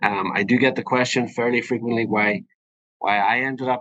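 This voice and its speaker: A man's medium-pitched voice in a Northern Irish accent, bright and sharp in tone, with fairly even intonation at a moderate pace. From Northern Ireland. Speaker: physician (urogynecologist). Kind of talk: educational webinar presentation. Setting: live webinar. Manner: hesitant, many fillers.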